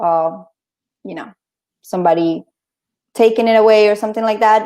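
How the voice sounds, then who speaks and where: A woman talks in a Spanish accent. Her pitch varies in an ordinary way. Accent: Spanish-accented English, noticeable. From Colombia. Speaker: interview guest. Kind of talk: casual interview. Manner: halting.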